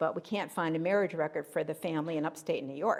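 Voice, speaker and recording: A woman speaks in an unremarkable speaking voice with ordinary pitch variation. Her pace is fairly quick. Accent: American. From Pennsylvania. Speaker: local history researcher. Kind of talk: talk to a history group.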